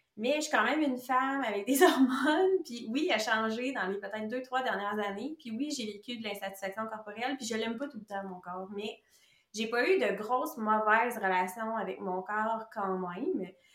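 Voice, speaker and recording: Over noticeable background noise, a woman with a fairly high voice talks at a moderate pace, her intonation lively and her loudness swinging widely. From Quebec. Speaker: nutritionist. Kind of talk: casual interview chat.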